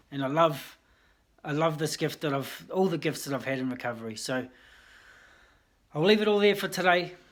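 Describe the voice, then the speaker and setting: Speaking at a fairly quick pace with long, frequent pauses, a man with a New Zealand accent and a fairly high pitch comes through on a very clean recording with a silent background. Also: ordinary pitch variation. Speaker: vlogger in addiction recovery. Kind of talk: personal testimony vlog. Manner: casual, hesitant with fillers.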